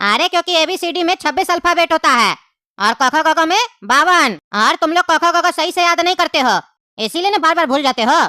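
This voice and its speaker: A cartoonish character voice races along at a very fast pace in an extremely high pitch, recorded very cleanly against a silent background. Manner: bossy, lecturing.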